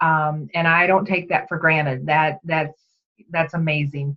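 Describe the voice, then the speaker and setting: At a moderate pace, a woman talks in an unremarkable speaking voice with a fairly low pitch. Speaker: direct sales team leader. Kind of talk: training talk. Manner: casual, chatty.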